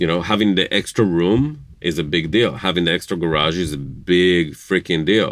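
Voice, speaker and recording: A man's very deep, low voice at a moderate pace, with hardly any pauses and very even loudness. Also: ordinary pitch variation. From Israel, Jerusalem. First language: Hebrew. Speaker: interviewee, spouse of host. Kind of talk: casual interview. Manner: hesitant, with filler words.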